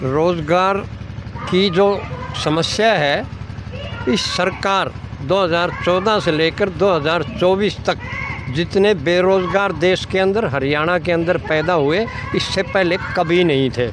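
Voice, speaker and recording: Heard through noticeable background noise and audible room echo, a man speaks at a high pitch with very even loudness and ordinary pitch variation. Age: 70s. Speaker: community activist. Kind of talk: interview.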